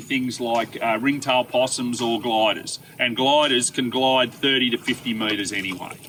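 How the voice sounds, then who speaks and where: A man with an Australian accent talks at a medium pitch and a moderate pace. Noticeable background noise runs behind him. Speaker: environmental consultant. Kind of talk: outdoor farm tour talk. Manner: loud.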